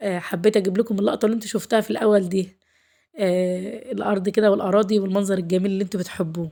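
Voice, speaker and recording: At a very fast pace, a woman speaks with fairly even intonation. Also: medium pitch for a woman. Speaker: lifestyle vlogger, housewife. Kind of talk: vlog narration. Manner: warm, chatty.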